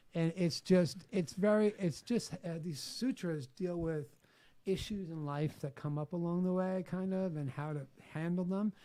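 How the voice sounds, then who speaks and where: This man speaks in a New York accent at a moderate pace, his high-pitched voice dark and mellow in tone with ordinary pitch variation. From New York City, Staten Island. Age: 50s. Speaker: author. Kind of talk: podcast interview.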